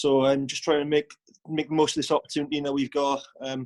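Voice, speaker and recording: Recorded dry and close with no echo, a man with a Welsh accent speaks at a fairly quick pace with a fairly high pitch and monotone, flat intonation. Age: 20s. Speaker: professional rugby player. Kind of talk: video call introduction.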